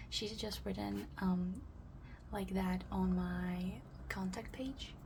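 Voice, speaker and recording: Over noticeable background noise, the speech comes at a very slow pace. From Belarus. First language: Russian. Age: 20s. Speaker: art vlogger. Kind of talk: casual chat. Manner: hesitant, many fillers.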